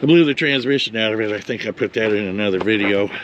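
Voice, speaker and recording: Fairly quick speech from a man, with noticeable background noise throughout. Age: 60s. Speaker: hot rod mechanic. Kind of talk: casual talk to camera.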